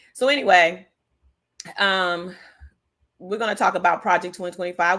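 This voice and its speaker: A woman's bright, sharp, fairly low voice at a fairly quick pace, with ordinary pitch variation, on a very clean recording with a silent background. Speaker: political livestream host. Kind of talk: casual livestream commentary. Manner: animated.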